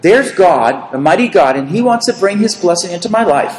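Spoken with an American accent, the voice swings very widely in pitch, with audible room echo and noticeable background noise. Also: man. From US, Boston area. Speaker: preacher. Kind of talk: sermon with consecutive interpretation.

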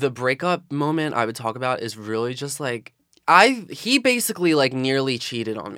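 This man has a Philadelphia accent and a medium pitch. His tone is bright and sharp. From South Philadelphia. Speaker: college student. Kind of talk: casual chat. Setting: studio.

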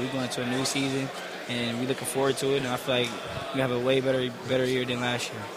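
A man with an American accent and a medium-pitched voice, heard over noticeable background noise. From Detroit, Michigan. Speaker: college football player. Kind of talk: interview. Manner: loud on field but soft-spoken in interview.

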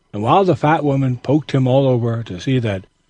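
Here the speaker is reading aloud in a natural voice.

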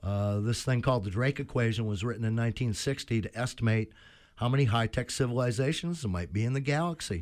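A man at a very fast pace, medium pitch and ordinary pitch variation. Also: very clean recording, silent background. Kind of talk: casual chat. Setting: studio. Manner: hesitant, many fillers.

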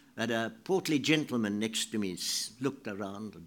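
This very clean recording has a silent background. A man with a South African accent speaks at medium pitch in a bright, sharp tone with ordinary pitch variation. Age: 80s+. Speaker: writer giving a talk. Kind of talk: speech. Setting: stage with audience.

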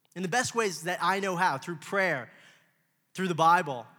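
A man with an American accent speaks at high pitch with a bright, sharp tone and ordinary pitch variation. His pace is moderate, and the room echo is audible. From Los Angeles, US. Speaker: young adult pastor. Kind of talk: sermon.

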